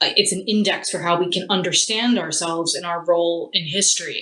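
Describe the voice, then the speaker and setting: A woman's fairly low voice at a very fast pace, over noticeable background noise. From US, Philadelphia. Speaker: theatre studies lecturer. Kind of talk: interview.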